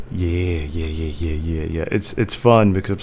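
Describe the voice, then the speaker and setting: A man speaks at a moderate pace. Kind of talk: casual interview host talk.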